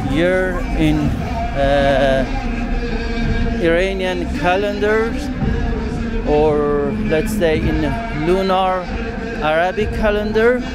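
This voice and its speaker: Loud music plays in the background while a man speaks at a very slow pace with long, frequent pauses. The sound is dry with no echo. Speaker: travel vlogger. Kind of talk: walking tour commentary. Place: street. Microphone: phone near.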